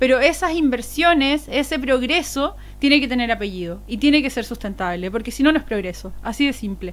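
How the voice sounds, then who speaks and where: Fairly quick, animated speech from a woman with a high pitch and lively intonation. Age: 30s. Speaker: political candidate. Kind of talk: interview. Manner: fast; fluent, animated.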